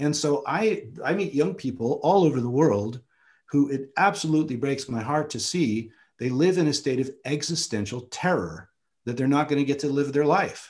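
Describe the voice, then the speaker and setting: A man speaks with a fairly high pitch and a somewhat breathy voice. The background is quiet. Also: ordinary pitch variation, moderate pace. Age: 50s. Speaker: photographer and filmmaker; guest. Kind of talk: seminar talk. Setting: video call. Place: home room. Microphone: webcam.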